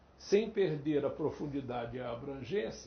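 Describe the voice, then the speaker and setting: Moderate-paced speech from a man amid audible room echo and noticeable background noise. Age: 70s. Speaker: Portuguese teacher. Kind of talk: interview.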